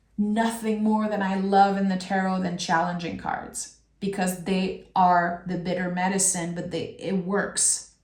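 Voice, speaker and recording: Audible room echo surrounds a woman speaking at a medium pitch and a fairly slow pace. Her somewhat breathy voice keeps a monotone, flat intonation. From France. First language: French. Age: 30s. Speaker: tarot reader. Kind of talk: tarot reading; casual chat.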